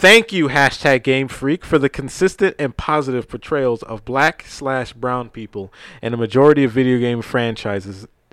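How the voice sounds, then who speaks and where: A man with an American accent speaks in a normal speaking voice at a moderate pace, with medium pitch and ordinary pitch variation, on a very clean recording with a silent background. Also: dry, close sound with no echo. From New York, Brooklyn. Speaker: podcast host. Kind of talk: casual chat.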